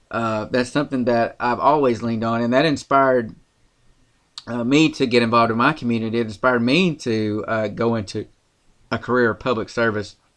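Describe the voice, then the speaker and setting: Over a quiet background, a man with a Tennessee accent talks at a fairly quick pace with fairly even intonation. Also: medium pitch for a man. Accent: Southern US, Tennessee. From rural Tennessee. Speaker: podcast co-host, political commentator. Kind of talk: casual political commentary podcast.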